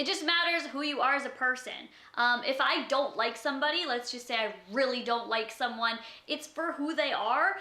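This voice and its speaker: The voice is raised and projected, with audible echo from the room. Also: woman, high pitch for a woman, ordinary pitch variation, moderate pace. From Canada. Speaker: YouTuber. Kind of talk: casual vlog, answering tag questions.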